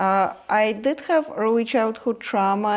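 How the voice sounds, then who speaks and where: A woman with a Russian accent, lively intonation and a fairly slow pace. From Ukraine. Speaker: energy healer. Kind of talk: interview conversation. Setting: guest's home. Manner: hesitant, with fillers.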